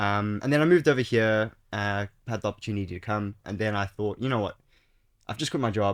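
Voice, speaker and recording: A man with a South African accent speaks very fast at a fairly low pitch, with ordinary pitch variation. The recording is very clean over a silent background. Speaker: accountant and startup founder. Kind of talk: podcast interview. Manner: casual, many fillers.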